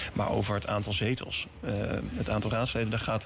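A man talks at a very fast pace in a medium pitch, with music playing in the background. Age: 30s. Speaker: city councillor. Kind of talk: radio interview. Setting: studio. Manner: halting.

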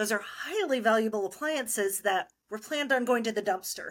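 The recording is very clean, with a silent background. A woman talks at a fairly quick pace in a fairly high pitch. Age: 40s. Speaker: tax accountant and company CEO. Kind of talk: interview. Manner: animated.

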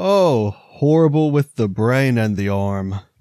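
A man puts on a character voice at a medium pitch, delivering it at a fairly slow pace. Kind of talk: comic game-master voice. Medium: actual play. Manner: imperious, then mocking.

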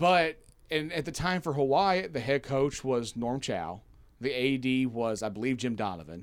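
A man with a Southern US accent talks at a moderate pace in a medium pitch, his intonation lively. The recording is very clean, with a silent background. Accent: Southern US, noticeable twang. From Kentucky, US South. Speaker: university media relations staffer, guest. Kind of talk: casual sports podcast chat.

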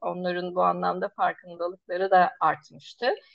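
A woman talks at a fairly slow pace. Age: 40s. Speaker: nursing professor. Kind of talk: interview. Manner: halting with many filler sounds.

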